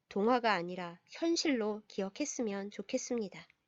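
A woman's plain, everyday voice, fairly high in pitch with lively intonation, at a moderate pace against a quiet background, dry and close with no echo. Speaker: pastor. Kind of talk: storytelling reflection. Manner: gentle, calm.

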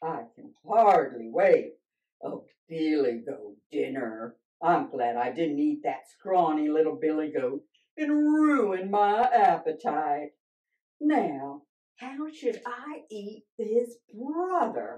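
A woman speaks very slowly in a growling, cartoonish character voice at a medium pitch. Her pitch swings very widely. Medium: puppet show. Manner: grumpy, growling, menacing.

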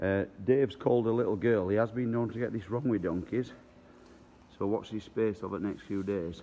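A man speaks with a dark, mellow tone. His pitch is fairly low. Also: ordinary pitch variation, moderate pace.

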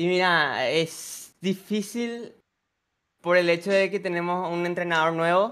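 Speaking very slowly, a man has a high pitch, a bright, sharp tone and fairly even intonation. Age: 20s. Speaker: football content creator; football streamer. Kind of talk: casual chat; casual sports talk with a guest. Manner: halting. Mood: relaxed, cheerful. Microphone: studio mic.

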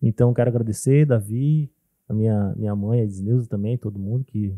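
Over a quiet background, a man with a fairly low, dark, mellow voice speaks at a fairly quick pace with ordinary pitch variation, in a dry sound with no echo. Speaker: ceramic artist; podcast host. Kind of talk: casual chat. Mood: warm, grateful. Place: studio. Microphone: studio mic.

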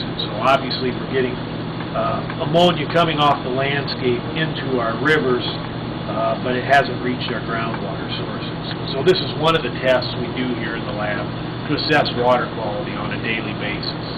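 Speech at a moderate pace over loud background noise. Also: man. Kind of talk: interview answer.

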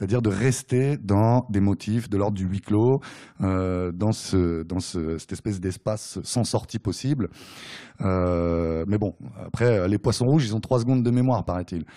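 Speaking at a fairly slow pace against a quiet background, a man uses a fairly low pitch, a dark, mellow tone and ordinary pitch variation. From France, Nemours area (Seine-et-Marne); France. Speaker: novelist. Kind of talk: author talk at bookshop. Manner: hesitant, many fillers. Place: shop.

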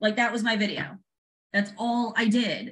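A woman speaks with a fairly high pitch. Her tone is animated, bright and sharp. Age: 40s. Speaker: real estate agent and social media creator; social media creator. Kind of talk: casual video chat interview. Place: home room. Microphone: video call.

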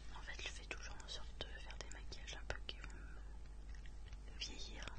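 A woman whispers, soft-spoken and at a fairly slow pace. Her tone is relaxed. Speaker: ASMR creator. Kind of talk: ASMR makeup collection presentation. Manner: whispered; soft-spoken, relaxed. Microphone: studio mic.

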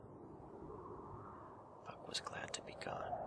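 Someone is whispering in a calm tone. Noticeable background noise can be heard. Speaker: audiobook / ASMR narrator. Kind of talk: soft-spoken ASMR bedtime story reading. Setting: reading over ambient wind sound effect. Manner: soft-spoken, calm, relaxing.

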